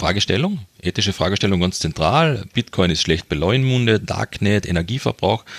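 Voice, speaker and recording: A man's fairly low voice at a moderate pace, with lively intonation, very even loudness and hardly any pauses, in a dry, close sound with no echo over a silent background, very cleanly recorded. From Austria, Carinthia. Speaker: development aid worker and fundraiser. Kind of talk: interview.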